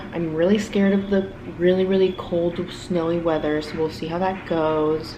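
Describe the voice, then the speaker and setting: A woman with an American accent talks at a moderate pace and a fairly low pitch, with monotone, flat intonation. Noticeable background noise and audible room echo fill the recording. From South Florida. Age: 20s. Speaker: vlogger and grad student. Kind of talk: casual vlog monologue.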